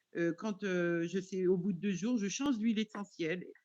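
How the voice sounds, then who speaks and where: With typical rise and fall in pitch, the delivery moves rather briskly. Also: woman. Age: 60s. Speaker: webinar participant asking a question. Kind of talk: question in live webinar. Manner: halting, many hesitations.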